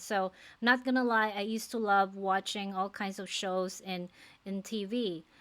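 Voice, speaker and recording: Very cleanly recorded against a silent background, a woman with a Filipino accent speaks at a medium pitch. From Philippines. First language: non-English (Philippine language). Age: 40s. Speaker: nurse and faith-based life coach. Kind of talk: personal vlog, motivational talk to camera. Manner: casual, conversational with hesitations.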